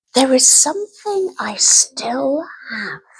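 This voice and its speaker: This female-sounding speaker uses a put-on character voice pitched high and moves very slowly. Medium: read story.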